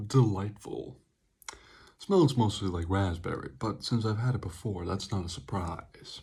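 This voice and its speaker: A man whispers, soft-spoken and somewhat breathy. His tone is calm and his pace fairly slow. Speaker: energy drink reviewer. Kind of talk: ASMR-style product review. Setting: close to the mic. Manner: whispering, very quiet; soft and calm.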